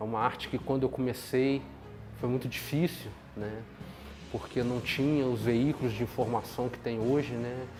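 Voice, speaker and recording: With music in the background, a man keeps to a medium speed as he talks. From Brazil, Minas Gerais (São João del Rei). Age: 40s. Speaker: knifemaker. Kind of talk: documentary interview. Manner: halting, repeats words.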